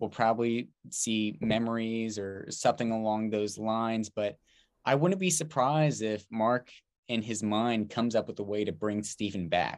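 This man speaks at a moderate pace and a medium pitch. His pitch varies in an ordinary way, and he has a plain, everyday voice. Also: quiet background. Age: 20s. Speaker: podcast co-host. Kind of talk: casual chat.

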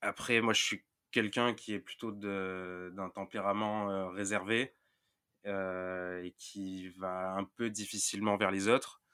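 A very slow, monotone, flat delivery from a man of fairly low pitch, on a very clean recording with a silent background. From Marseille, southern France. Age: 20s. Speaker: sports journalist. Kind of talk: podcast interview. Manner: hesitant, many repetitions.

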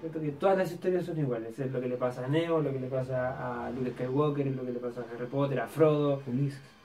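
Over noticeable background noise and audible room echo, a man at a medium pitch talks at a fairly quick pace with hardly any pauses and fairly even intonation. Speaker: film podcast co-host. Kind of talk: casual chat.

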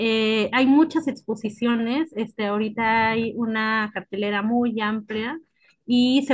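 A woman speaks in a plain, everyday voice at a fairly high pitch, moving at a fairly slow pace with fairly even intonation. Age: 30s. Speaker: art curator. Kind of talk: interview.

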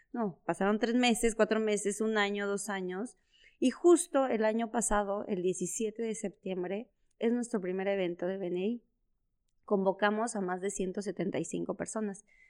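A woman speaks in an unremarkable speaking voice at a medium pitch with ordinary pitch variation. The recording is very clean, with a silent background. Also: fairly slow pace. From Mexico, Chiapas (San Cristóbal de las Casas). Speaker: entrepreneur. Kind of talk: interview.

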